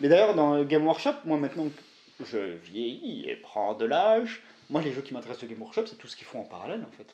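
Talking at a fairly quick clip, a man with a fairly high pitch shows very wide pitch swings and big swings in loudness. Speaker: YouTuber, miniature wargaming hobbyist. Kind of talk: casual chat.

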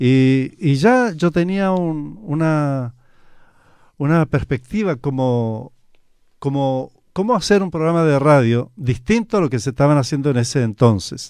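An ordinary speaking voice moves at a fairly slow pace with lively intonation. The sound is dry with no echo over a quiet background. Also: man, fairly high pitch for a man. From Chile (Talcahuano, Concepción); Chile. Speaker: radio announcer. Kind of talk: radio interview. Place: studio. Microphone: studio mic.

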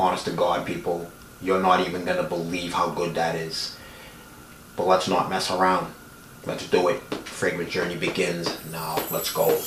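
A moderate pace and a monotone, flat delivery against noticeable background noise. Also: man, very deep, low pitch for a man. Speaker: fragrance reviewer. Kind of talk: casual talk to camera.

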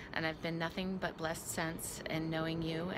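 Noticeable background noise accompanies a woman talking at a moderate pace. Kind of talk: casual personal video message. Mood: warm, playful. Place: garden. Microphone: phone near.

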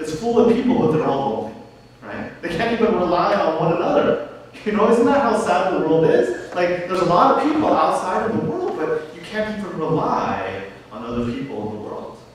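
Amid strong room echo and light background noise, a man's high voice swings very widely in pitch. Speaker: pastor. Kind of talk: sermon. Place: church.

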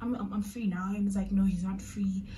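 A woman at medium pitch with light background noise. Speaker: vlogger. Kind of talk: storytime vlog to camera. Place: home room. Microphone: phone near.

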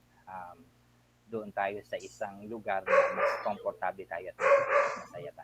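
Noticeable background noise surrounds a man who speaks very slowly, with big swings in loudness. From Philippines, Bataan. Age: 40s. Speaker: school administrator. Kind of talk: interview.

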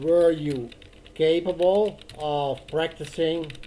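With a Dutch accent, a man talks at a very slow pace. His pitch is fairly high and varies in an ordinary way. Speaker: Dutch teacher. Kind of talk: online language lesson, improvised explanation.

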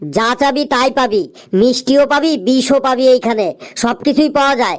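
This cartoonish character voice keeps a very even loudness and moves at a moderate pace. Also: man, extremely high pitch for a man. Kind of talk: comic cartoon dubbing. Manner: brash, rude.

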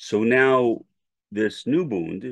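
Spoken with an American accent and ordinary pitch variation, the voice sits over a quiet background. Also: man. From New York City. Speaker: academic commentator. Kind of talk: scripted narration.

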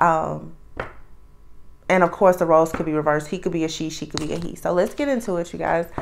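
Over light background noise, a woman talks at a very fast pace, her fairly low pitch showing ordinary variation. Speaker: tarot reader. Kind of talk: casual reading intro chat. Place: home room.

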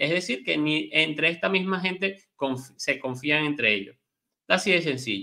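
A man's fairly high voice with a bright, sharp tone, lively intonation and a moderate pace against a quiet background. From Venezuela. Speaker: news commentary co-host. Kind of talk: news commentary. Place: home room. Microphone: webcam.

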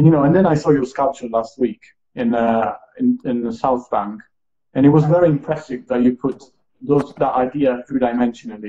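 An Italian accent, a dark, mellow tone, a fairly quick pace and ordinary pitch variation against a quiet background. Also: man. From Italy. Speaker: live stream host. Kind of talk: interview, casual conversation. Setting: live stream. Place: home room. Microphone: earbuds.

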